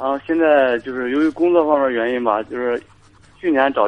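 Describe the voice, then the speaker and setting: A man with an ordinary speaking voice, fairly high pitch, fairly even intonation and a fairly quick pace. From rural China. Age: 20s. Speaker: caller, soldier. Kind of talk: call-in radio advice.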